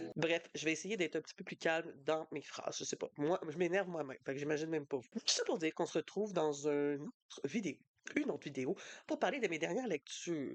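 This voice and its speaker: A woman's fairly low voice at a very fast pace, dry and close with no echo. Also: ordinary pitch variation. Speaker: book youtuber. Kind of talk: casual book review vlog. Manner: animated.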